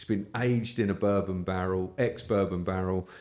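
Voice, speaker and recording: A man speaks with a British accent and a fairly low pitch. His intonation stays fairly even. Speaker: whisky podcast host. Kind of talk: casual chat.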